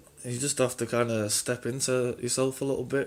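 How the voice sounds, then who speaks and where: A man speaks in a flat, monotone way. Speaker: spiritual vlogger. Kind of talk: casual monologue vlog. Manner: halting, many restarts and fillers.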